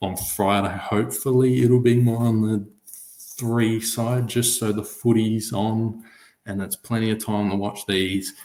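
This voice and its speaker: The speaker is soft-spoken with a dark, mellow tone and an Australian accent. Delivery is fairly slow, with fairly even intonation. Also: man, medium pitch for a man. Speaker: sports podcaster. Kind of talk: solo podcast talk. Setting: home recording, late at night.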